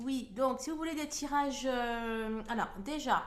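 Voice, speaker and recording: A woman takes a fairly slow pace, her voice carrying audible room echo. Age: 40s. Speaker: hypnotherapist and card reader. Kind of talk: channel introduction. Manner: hesitant, many filler words.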